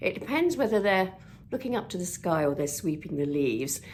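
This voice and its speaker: A woman with an English accent at a moderate pace. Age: 60s. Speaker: vlogger and TV presenter. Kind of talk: casual vlog monologue. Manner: chatty.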